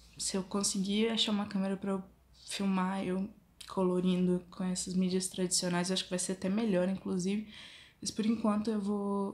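The voice is somewhat breathy, with monotone, flat intonation and a moderate pace. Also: woman, medium pitch for a woman. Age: 20s. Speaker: fashion design student and drawing vlogger. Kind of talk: casual vlog intro. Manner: halting.

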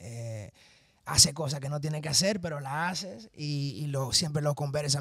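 A man with a plain, everyday voice and fairly high pitch, at a moderate pace, in dry sound with no echo. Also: quiet background. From New York. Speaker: interview guest. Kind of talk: interview. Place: studio. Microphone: handheld.

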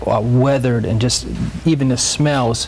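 A man at a moderate pace with fairly even intonation and light background noise. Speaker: interview guest. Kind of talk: interview answer. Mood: earnest, emotional. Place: studio. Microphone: lapel.

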